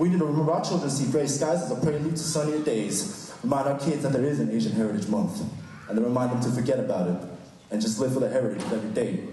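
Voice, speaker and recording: Very fast and at very even loudness, a man with an American accent speaks in a fairly high pitch over noticeable background noise. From United States. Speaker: slam poet. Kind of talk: spoken word poetry performance. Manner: rhythmic, fast.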